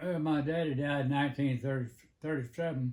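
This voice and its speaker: A man speaks with a Southern US accent at a very slow pace. His voice is somewhat breathy, with ordinary pitch variation. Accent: Southern American. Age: 80s+. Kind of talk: interview answer. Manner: hesitant, halting, many fillers.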